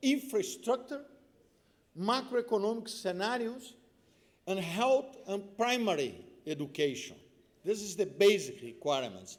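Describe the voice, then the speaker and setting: With a Brazilian accent, a man talks in a high pitch at a fairly slow pace with lively intonation and audible room echo. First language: Portuguese. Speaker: tax policy expert. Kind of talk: conference speech. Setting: conference panel with audience.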